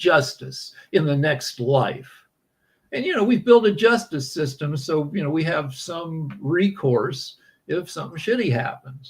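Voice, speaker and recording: A man with an ordinary speaking voice, lively intonation, and a fairly slow pace. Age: 60s. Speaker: podcast guest answering questions. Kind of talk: casual conversational interview.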